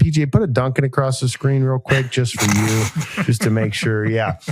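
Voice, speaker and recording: A fairly quick American accent against noticeable background noise. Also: man. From US South (Beaufort, South Carolina). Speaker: podcast host. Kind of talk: casual chat.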